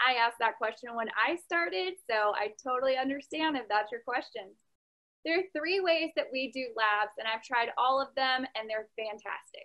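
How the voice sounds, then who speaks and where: A woman with a high voice speaks at a moderate pace against a quiet background. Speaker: online science teacher. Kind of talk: informational talk to viewers. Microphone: webcam.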